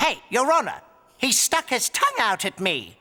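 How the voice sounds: A man speaks at a moderate pace in a cartoonish character voice pitched extremely high.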